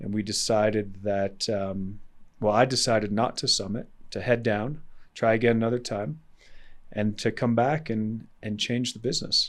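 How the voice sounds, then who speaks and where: On a very clean recording with a silent background, a man with a plain, everyday voice speaks at a moderate pace, fairly low in pitch, with fairly even intonation. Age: 40s. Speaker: entrepreneur and adventurer. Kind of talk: podcast interview. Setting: in person.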